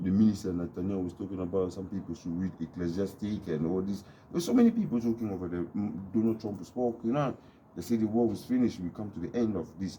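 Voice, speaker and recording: A man's fairly low, dark, mellow voice at a very fast pace with ordinary pitch variation. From DR Congo. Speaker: YouTube vlogger. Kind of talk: casual monologue vlog.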